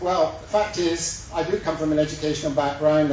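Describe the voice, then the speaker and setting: In a Scottish accent, the speaker talks very fast with fairly even intonation. Noticeable background noise and audible room echo fill the recording. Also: man. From west of Scotland. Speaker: mayoral candidate. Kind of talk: campaign speech. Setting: public forum with live audience.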